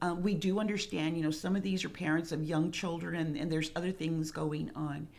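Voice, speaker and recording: A woman with an American accent speaks in a very deep, low pitch, with audible room echo around her. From Rio Grande Valley, Texas (Harlingen). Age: 60s. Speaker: retired school speech therapist, parent support group co-founder. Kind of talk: interview conversation.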